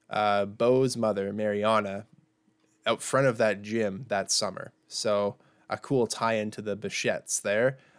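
In a normal speaking voice, a man talks at a medium pitch and a fairly slow pace. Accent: Canadian. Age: 20s. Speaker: baseball podcast co-host. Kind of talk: casual chat. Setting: remote recording from home.

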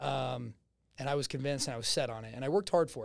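Talking at a very fast pace, a man speaks with a New Jersey accent. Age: 20s. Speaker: real estate agent. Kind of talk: casual interview. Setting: studio. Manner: loud.

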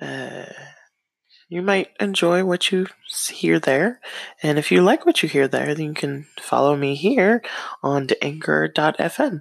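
Calm in tone, a woman speaks at a very slow pace with long, frequent pauses. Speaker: podcaster. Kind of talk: podcast trailer monologue. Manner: put-on calm radio-style voice; hesitant, many fillers.

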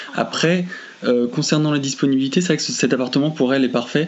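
Noticeable background noise sits under speech delivered at a very fast clip. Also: man. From France. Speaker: friend making a phone call. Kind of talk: recorded phone call. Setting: phone call. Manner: halting.

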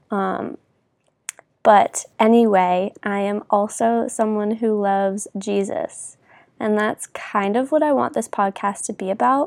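Speaking at a fairly slow pace, a woman has a fairly high pitch and ordinary pitch variation. The sound is dry and close with no echo, in a very clean recording over a silent background. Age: 20s. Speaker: podcast host. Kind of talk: casual monologue. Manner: informal, with many fillers.

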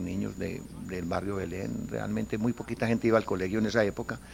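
A man talks at a fairly quick pace with a fairly low pitch and vocal fry. His pitch varies in an ordinary way. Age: 60s. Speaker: football club president. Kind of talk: interview.

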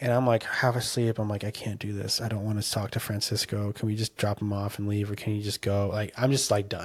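With an American accent, a man speaks in a somewhat breathy, fairly low, monotone, flat voice at a fairly quick pace with hardly any pauses. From Southern California. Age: 20s. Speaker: missionary and surfer, author. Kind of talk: casual interview with faith testimony.

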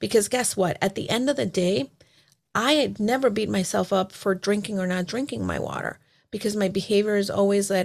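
At a fairly quick pace, a woman with an American accent speaks with ordinary pitch variation. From El Salvador, then Miami and Connecticut. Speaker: holistic business and life coach. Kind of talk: casual interview chat.

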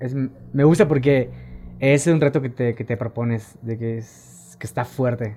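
A man's dark, mellow tone at medium pitch and a fairly slow pace. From Quintana Roo, Mexico (Tulum). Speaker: amateur cyclist. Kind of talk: casual chat. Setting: studio.

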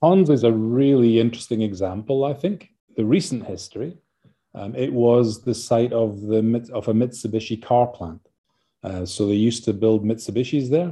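A man with a Scottish accent speaks at a moderate pace and medium pitch with ordinary pitch variation. His tone is dark and mellow, over a quiet background. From Scotland. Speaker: university vice-chancellor. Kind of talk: interview. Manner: hesitant, filler-heavy.

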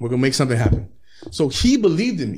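The man's voice is somewhat breathy. His pitch swings very widely. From Southeast Los Angeles area, California. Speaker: rapper. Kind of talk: casual chat.

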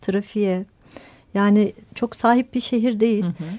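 A woman's fairly high-pitched voice, dark and mellow in tone, at a moderate pace with ordinary pitch variation, in a dry, close sound with no echo. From Izmir, Turkey. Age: 30s. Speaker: architect and cycling activist. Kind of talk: interview.

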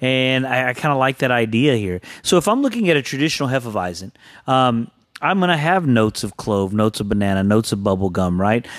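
Lively intonation marks this man's speech, delivered at a very fast pace. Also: medium pitch for a man. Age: 40s. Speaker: podcast co-host, beer reviewer. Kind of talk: casual chat.

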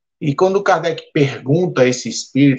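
A man talks at a fairly high pitch. His pace is moderate. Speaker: civil engineer. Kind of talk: panel discussion. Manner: direct, blunt.

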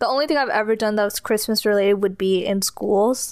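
A woman with an American accent and a fairly high pitch speaks at a fairly quick pace in a normal speaking voice. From California. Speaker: podcast co-host. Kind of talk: casual chat.

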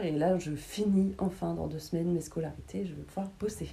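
A woman speaks in a normal speaking voice at a fairly low pitch. Her pace is moderate, with ordinary pitch variation. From Paris region, Val d'Oise. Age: 30s. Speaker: interviewee, former hospitality worker, tax inspector. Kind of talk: casual interview.

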